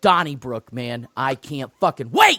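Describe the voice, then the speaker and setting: A man shouts at a fairly slow pace in a bright, sharp tone. The sound is dry and close with no echo. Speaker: sports podcast co-host. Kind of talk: casual chat. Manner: loud, yelling.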